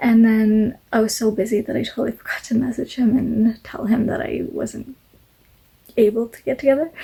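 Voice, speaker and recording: A woman mumbles at a moderate pace in a fairly high voice with a dark, mellow tone. Her intonation stays fairly even. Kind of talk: casual talk to camera. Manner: mumbles, many fillers.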